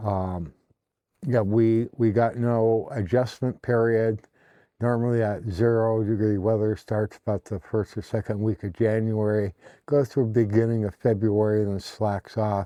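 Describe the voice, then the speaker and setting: Against a quiet background, a man with a dark, mellow tone and fairly low pitch speaks at a moderate pace with fairly even intonation, in a dry, close sound with no echo. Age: 60s. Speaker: vlogger. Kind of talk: casual monologue. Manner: halting, many fillers.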